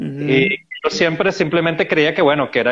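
A man speaks in an ordinary speaking voice. His pitch is fairly high and his pace moderate. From Venezuela. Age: 40s. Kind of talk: interview.

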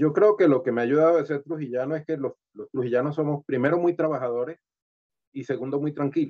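A man speaks in a fairly high voice. His pace is very fast. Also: ordinary pitch variation. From Venezuela, Valera (Trujillo state). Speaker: sculptor and comedian. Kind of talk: interview.

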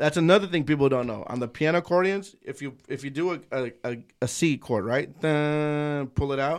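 An ordinary speaking voice at a moderate pace shows ordinary pitch variation on a very clean recording with a silent background. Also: man, fairly high pitch for a man. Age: 30s. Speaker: podcast host. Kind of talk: casual chat. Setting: studio. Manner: casual, profane, bilingual code-switching.

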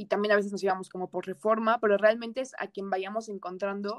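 A woman with a central Mexican accent speaks at a medium pitch with ordinary pitch variation, and the sound is dry and close with no echo. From Mexico, Toluca. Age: young. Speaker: university student. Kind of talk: interview. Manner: casual.

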